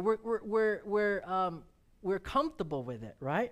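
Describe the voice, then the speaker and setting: A very clean recording against a silent background carries speech delivered at a fairly slow pace. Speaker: preacher. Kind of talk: sermon. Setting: church.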